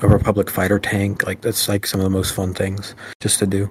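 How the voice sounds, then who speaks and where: A man's fairly low voice at a fairly quick pace. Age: 20s. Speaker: podcast co-host. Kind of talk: casual chat.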